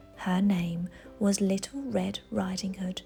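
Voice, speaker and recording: With music in the background, a woman with an English accent talks fairly slowly at a medium pitch. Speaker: parent reading to children. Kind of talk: children's picture book read-aloud.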